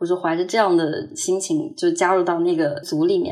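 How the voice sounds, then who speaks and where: Her speech moves at a moderate pace. This woman's pitch swings very widely from high to low. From Hangzhou, China. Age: 20s. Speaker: student abroad. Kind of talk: personal testimony.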